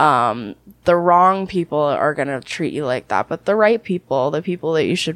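A woman speaks at a very deep, low pitch with vocal fry and very wide pitch swings. The sound is dry and close, with no echo. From Canada. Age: 20s. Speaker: adult film performer. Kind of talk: interview.

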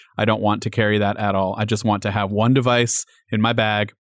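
Over a very clean recording with a silent background, a man speaks at a fairly quick pace. His pitch is fairly low and his intonation monotone and flat. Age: 30s. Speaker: tech journalist. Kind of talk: casual chat.

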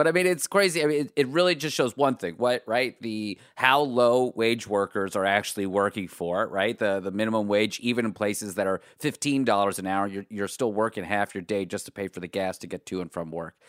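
A man with an American accent speaks quickly in an ordinary speaking voice, his fairly low pitch carried by lively intonation and hardly any pauses, in a dry, close, echo-free recording that is very clean with a silent background. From US, Pittsburgh. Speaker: panelist. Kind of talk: casual chat.

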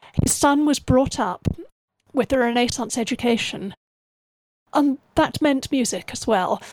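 With a southern English accent, a woman talks at a moderate pace in a high pitch, her intonation lively and the sound dry and close with no echo. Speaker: musician and historian. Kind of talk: interview.

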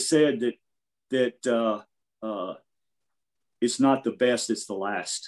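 A man with an American accent, speaking at a very slow pace with long, frequent pauses, against a quiet background. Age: 50s. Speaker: jiu-jitsu practitioner. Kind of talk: casual interview. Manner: halting, many fillers.

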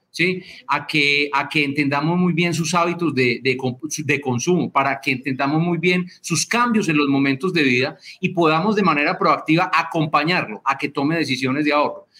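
An animated tone at a moderate pace, with ordinary pitch variation and very even loudness. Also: man, fairly high pitch for a man. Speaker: company president. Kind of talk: interview.

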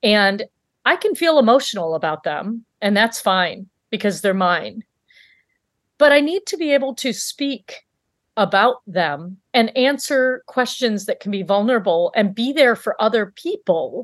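With an American accent and an ordinary speaking voice, a woman talks at a fairly slow pace in a fairly high pitch with lively intonation, the sound dry and close with no echo over a quiet background. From US Midwest, Michigan. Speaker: physician, coach and author. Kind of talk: interview.

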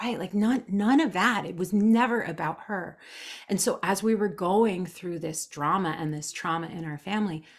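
A woman with an ordinary speaking voice talks at a moderate pace in a medium pitch, her intonation lively. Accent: American. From New Jersey, US. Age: 40s. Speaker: human design expert. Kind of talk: casual interview. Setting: video call.

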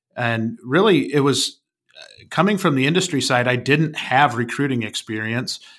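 With an American accent and a plain, everyday voice, a man talks at a medium pitch, his intonation lively and his loudness swinging widely. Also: moderate pace. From Wisconsin, small town. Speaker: recruiting company founder. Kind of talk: podcast interview.

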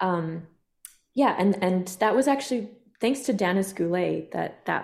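A woman with a fairly low pitch speaks at a moderate pace, her voice showing vocal fry. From southern Alberta, Canada (Kainai First Nation). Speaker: filmmaker and actor. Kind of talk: casual chat.

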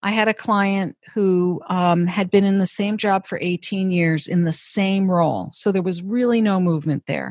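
Recorded very cleanly against a silent background, the sound dry and close with no echo, a woman in an unremarkable speaking voice talks at a moderate pace and medium pitch with fairly even intonation and hardly any pauses. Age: 50s. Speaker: career and executive coach. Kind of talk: interview. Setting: office.

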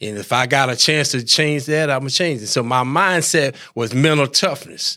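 On a very clean recording with a silent background, a man with a Southern US accent speaks in a bright, sharp tone. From US South. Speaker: retired football player. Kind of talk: interview.

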